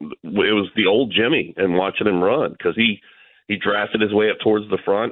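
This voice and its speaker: An American accent comes through from a man with a fairly low pitch and an unremarkable speaking voice. He keeps a moderate pace with ordinary pitch variation. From Florida (Tampa). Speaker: motorsports radio broadcaster. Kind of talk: casual interview. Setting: phone call.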